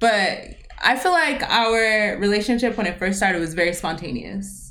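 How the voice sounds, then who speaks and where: With an American accent, a woman of medium pitch speaks at a moderate pace with lively intonation amid audible room echo. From US West, Las Vegas. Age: 20s. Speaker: podcast co-host. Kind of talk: casual chat.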